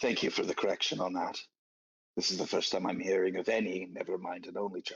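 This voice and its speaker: In a raspy put-on character voice, a man rattles along at a very fast pace. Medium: actual play. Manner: hesitant, stammering.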